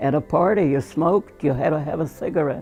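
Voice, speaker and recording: A woman with a very deep, low pitch speaks over music in the background. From Russia. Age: 80s+. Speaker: painter. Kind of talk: interview answer. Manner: slow, hesitant.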